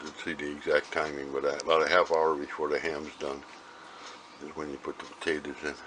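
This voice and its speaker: Over noticeable background noise, a man speaks at a fairly quick pace with monotone, flat intonation. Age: 70s. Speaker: home cook. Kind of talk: casual cooking demonstration.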